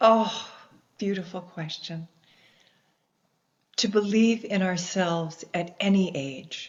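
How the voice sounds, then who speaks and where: A woman with an American accent speaks at a fairly slow pace in a somewhat breathy, medium-pitched voice with ordinary pitch variation. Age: 60s. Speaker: explorer and environmentalist. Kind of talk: interview.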